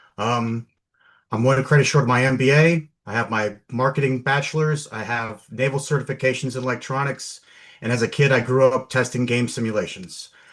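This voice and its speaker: A man uses a plain, everyday voice at a medium pitch and a fairly quick pace. His intonation is fairly even, and the background is quiet. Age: 50s. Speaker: local election candidate. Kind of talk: campaign opening statement.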